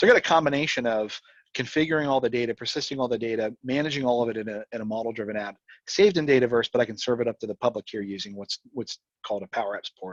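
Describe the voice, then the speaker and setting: The sound is dry and close, without echo. A man speaks very fast, with ordinary pitch variation. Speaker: tech presenter. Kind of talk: technical presentation. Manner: conversational.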